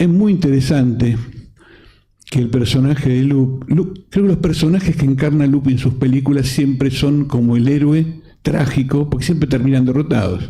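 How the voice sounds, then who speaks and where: A man with a fairly high pitch and a dark, mellow tone speaks at a moderate pace, somewhat breathy. His loudness stays very even, his pitch varies in an ordinary way, and the room echo is audible. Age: 60s. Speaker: film council president and panel moderator. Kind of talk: panel discussion. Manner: halting, frequent self-corrections.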